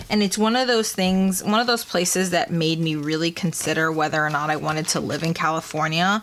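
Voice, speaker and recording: A woman speaks at a fairly low pitch with ordinary pitch variation and very even loudness. Her pace is fairly quick, with hardly any pauses. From Peru-born, raised in Maryland, US. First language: Spanish. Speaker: planner YouTuber, military veteran. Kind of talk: casual chat while planning. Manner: casual, with fillers and restarts.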